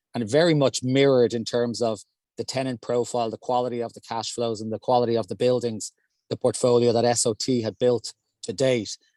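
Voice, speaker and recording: A man with an Irish accent at a medium pitch, monotone and flat, recorded dry and close with no echo. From Ireland. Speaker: real estate investment executive. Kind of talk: panel discussion. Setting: in a car.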